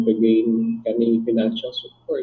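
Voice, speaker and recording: The man talks at a fairly slow pace with a medium pitch. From Philippines. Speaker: psychologist and relationship therapist. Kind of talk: interview.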